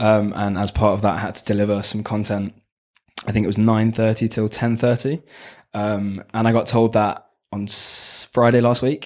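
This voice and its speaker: A man speaks in a London accent with a fairly low pitch and monotone, flat intonation at a moderate pace. The recording is very clean, with a silent background. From southwest London. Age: 20s. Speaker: business student on placement. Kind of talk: casual interview.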